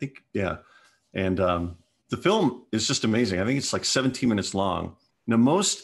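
Here is a plain, everyday voice with an American accent. It keeps a moderate pace and ordinary pitch variation over a quiet background. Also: man. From US Pacific Northwest (Washington state). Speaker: film festival organizer. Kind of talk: casual interview.

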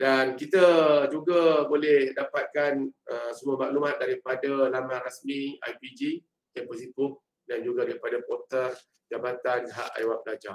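A man talks at a fairly slow pace over light background noise, with audible room echo. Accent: Malaysian. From Malaysia. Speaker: head of student affairs department. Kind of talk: online briefing to new students. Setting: video call. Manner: casual, chatty. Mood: friendly, jovial. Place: office. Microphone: video call.

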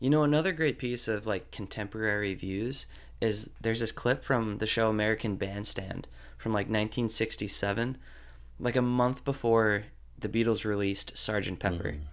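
A man has an ordinary speaking voice, with fairly low pitch and ordinary pitch variation. The recording is very clean, with a silent background. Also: moderate pace. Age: 20s. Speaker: podcast host. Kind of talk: casual interview chat.

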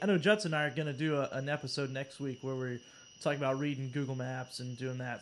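Over light background noise, a man with an American accent speaks at a fairly quick pace and a fairly high pitch. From North Carolina mountains; North Carolina. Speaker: podcast host. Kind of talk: casual chat. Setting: live stream. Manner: animated. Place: home room. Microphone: video call.

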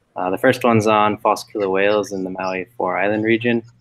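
A man speaks at a fairly quick pace. His pitch is fairly low, with fairly even intonation.

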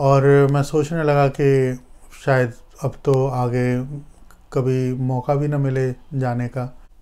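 The man's voice has a dark, mellow tone. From India. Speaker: astrologer and healer; astrology vlogger. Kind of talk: personal storytelling vlog. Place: home room. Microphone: lapel.

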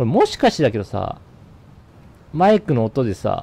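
This man's tone is dark and mellow. He keeps to a moderate pace. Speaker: game streamer. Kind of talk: gameplay commentary. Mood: nervous, curious. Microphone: studio mic.

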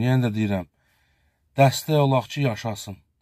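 Dark and mellow in tone, a man's voice comes through dry with no echo over a quiet background. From Azerbaijan. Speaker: local video blogger. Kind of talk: charity appeal to viewers. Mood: earnest, pleading. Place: car. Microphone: phone near.

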